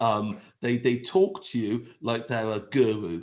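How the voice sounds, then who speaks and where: With an English accent, a man speaks at a fairly slow pace. His tone is animated. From England. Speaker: agile trainer. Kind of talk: webinar presentation.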